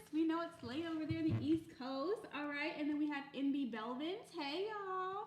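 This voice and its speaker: A woman talks with a high pitch and ordinary pitch variation, barely pausing. Audible room echo surrounds her voice. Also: moderate pace. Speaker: married couple podcast co-host. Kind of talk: casual live stream chat. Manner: soft-spoken.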